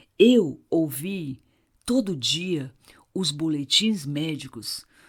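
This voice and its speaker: The woman's pitch is very deep and low, captured on a very clean recording against a silent background. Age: 60s. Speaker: psychologist, couples therapist. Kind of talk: therapeutic monologue.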